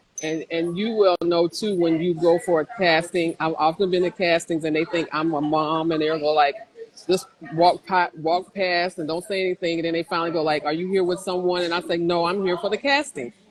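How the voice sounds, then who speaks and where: The pace is fairly quick and the intonation fairly even. There is noticeable background noise. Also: woman, fairly low pitch for a woman. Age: 60s. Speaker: plus-size mature model. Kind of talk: interview. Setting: livestreamed video call.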